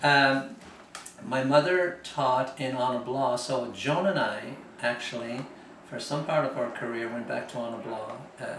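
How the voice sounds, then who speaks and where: Noticeable background noise and audible room echo around a man speaking at a fairly slow pace in a medium pitch. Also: ordinary pitch variation. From Ireland, County Cork (Ballydesmond). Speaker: interviewee recalling family history. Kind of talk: oral history interview. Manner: hesitant, many fillers.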